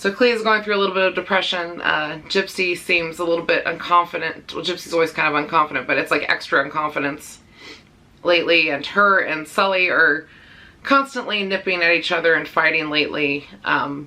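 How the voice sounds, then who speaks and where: A woman talks at a fairly quick pace in a fairly low pitch with ordinary pitch variation. Noticeable background noise is present. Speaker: pet vlogger. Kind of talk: casual vlog update. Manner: halting, many fillers.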